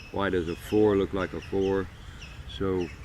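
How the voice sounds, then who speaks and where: Monotone, flat intonation marks a man's very deep, low voice. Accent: American. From US South. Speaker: storyteller. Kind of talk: personal monologue. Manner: hesitant, many fillers.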